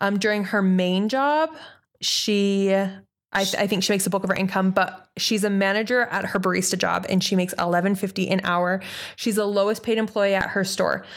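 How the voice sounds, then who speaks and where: An unremarkable speaking voice from a woman at medium pitch, fairly quick, with very even loudness and fairly even intonation, on a very clean recording with a silent background. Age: 20s. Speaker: podcast co-host. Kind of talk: casual chat.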